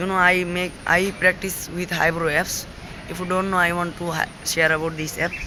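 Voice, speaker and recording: Over noticeable background noise, a man speaks with a Bengali accent at a moderate pace. His pitch is high, with monotone, flat intonation. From Bangladesh, village. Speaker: English learner vlogger. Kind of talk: casual vlog. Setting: outdoors. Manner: halting.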